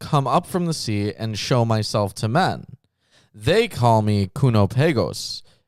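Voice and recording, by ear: The speaker is reading aloud in a natural voice, with lively intonation. The background is quiet.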